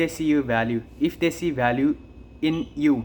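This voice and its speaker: Here a man with a non-native accent talks with fairly even intonation. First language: not English. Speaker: online business creator. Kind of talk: unscripted monologue. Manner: halting.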